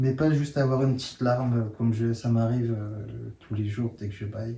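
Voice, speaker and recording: A man talks at a medium pitch and a moderate pace. His voice is somewhat breathy, with monotone, flat intonation. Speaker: workshop participant. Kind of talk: sharing circle. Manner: halting.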